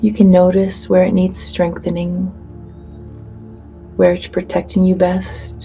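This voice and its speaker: A woman with a fairly low pitch speaks at a very slow pace in a soothing tone. Music plays behind her. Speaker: hypnotherapist. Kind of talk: guided hypnosis session. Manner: slow, soothing.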